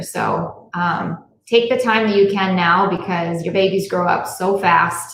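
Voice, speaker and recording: A woman's voice at a medium pitch. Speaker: podcast co-host. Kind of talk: casual chat. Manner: hesitant, many fillers.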